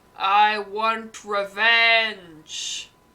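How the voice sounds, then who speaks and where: This put-on character voice is booming and fairly high in pitch. Its intonation stays monotone and flat. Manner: vengeful.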